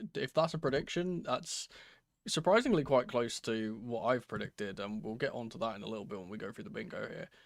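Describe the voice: A man puts on a character voice, raspy and hoarse, at a medium pitch and a fairly quick pace. His pitch swings very widely and his loudness shifts a lot.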